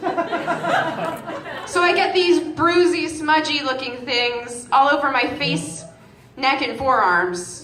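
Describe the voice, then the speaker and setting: A woman with an American accent speaks at a high pitch with lively intonation. Noticeable background noise can be heard. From Massachusetts, near Boston. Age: 20s. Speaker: comedian. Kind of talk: stand-up. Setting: stage with audience.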